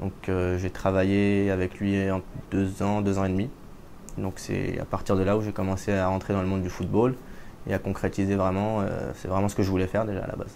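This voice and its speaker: Speaking at a fairly quick pace, a man keeps a monotone, flat intonation at a fairly low pitch. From France, moved to Israel at 15. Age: 20s. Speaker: assistant football coach and interpreter. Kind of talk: interview. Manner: hesitant, with fillers.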